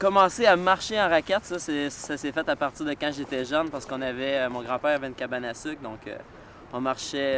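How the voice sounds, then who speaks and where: A man's unremarkable speaking voice, fairly high in pitch, at a fairly quick pace with ordinary pitch variation. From Quebec, Sherbrooke. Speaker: snowshoe racer. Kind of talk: interview.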